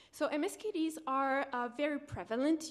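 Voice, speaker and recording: The speaker has a slight French accent and fairly even intonation. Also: woman. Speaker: PhD researcher presenting. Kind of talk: conference presentation. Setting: conference room with audience.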